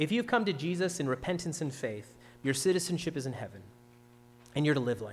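At a very fast pace, a man with a fairly high pitch and somewhat breathy voice swings widely in pitch and loudness, with long, frequent pauses. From Ontario, Canada. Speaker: pastor. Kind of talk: sermon.

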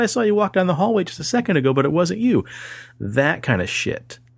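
Vocal fry runs through this man's fairly high voice as he talks at a very fast pace. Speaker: paranormal podcast host. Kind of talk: casual chat. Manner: slight tongue-tie, stumbles on sibilants.

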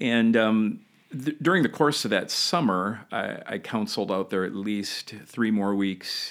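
A man with an ordinary speaking voice, fairly low in pitch, ordinary pitch variation, hardly any pauses, on a very clean recording with a silent background. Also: fairly slow pace. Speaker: founding senior pastor. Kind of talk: interview.

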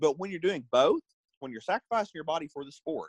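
Here a man talks with an Arkansas accent and very wide pitch swings. The sound is dry and close, with no echo. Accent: Southern US (Arkansas). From US South, Northwest Arkansas. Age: 40s. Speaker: fitness trainer. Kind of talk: casual chat.

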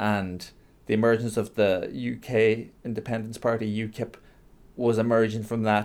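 Pitched at a medium level, a man with a Donegal accent speaks at a moderate pace in a monotone, flat intonation. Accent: Donegal Irish. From Ireland, Donegal. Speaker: writer and lecturer. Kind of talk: interview.

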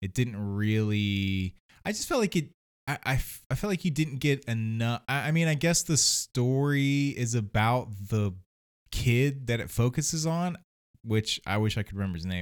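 With a normal speaking voice, a man of medium pitch uses lively intonation at a fairly slow pace in a very clean recording with a silent background. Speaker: podcast co-host. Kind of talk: casual chat.

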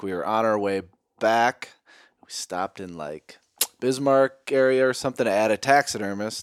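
At a moderate pace, a man with an unremarkable speaking voice shows ordinary pitch variation in a dry, close sound with no echo. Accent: American. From Minnesota. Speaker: knife company owner, hunter. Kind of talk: casual chat. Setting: home basement.

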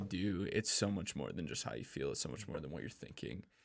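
Using lively intonation and vocal fry, a man speaks with an American accent. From Minnesota, Minneapolis. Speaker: youth pastor and worship leader. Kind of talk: casual chat.

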